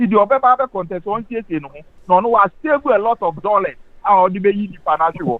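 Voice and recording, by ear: Talking at a fast pace, a man with a high pitch shows ordinary pitch variation.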